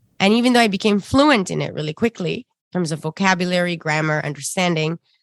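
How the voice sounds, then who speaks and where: Dry and close with no echo, the clip has a woman speaking at a fairly low pitch with an Arabic accent. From Sudan. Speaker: singer-songwriter and ethnomusicologist. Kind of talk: interview conversation.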